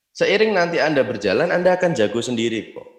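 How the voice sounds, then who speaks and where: A man talks in a high pitch at a moderate pace, his intonation lively. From Indonesia, Yogyakarta. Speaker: network marketing distributor. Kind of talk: motivational business talk.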